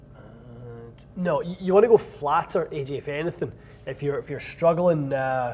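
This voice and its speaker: A man with a Scottish accent speaks in a fairly high pitch at a moderate pace, with ordinary pitch variation, big swings in loudness, and long, frequent pauses. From Scotland. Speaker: golf club fitter and show host. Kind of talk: live Q&A stream answering viewer questions. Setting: fitting studio.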